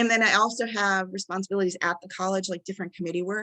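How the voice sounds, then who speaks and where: A woman's medium-pitched voice, bright and sharp in tone, with ordinary pitch variation, a dry, close sound with no echo and a quiet background. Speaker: college instructor. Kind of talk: webinar presentation. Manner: fast.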